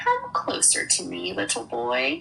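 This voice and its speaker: A creaky, put-on character voice speaks at a fairly slow pace. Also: woman. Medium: read story. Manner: conspiratorial.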